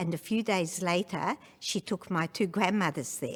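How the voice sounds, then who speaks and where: A woman speaks fairly slowly in a fairly low voice. The recording is very clean, with a silent background. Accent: Australian. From Hungary, Budapest. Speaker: Holocaust survivor. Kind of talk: testimony.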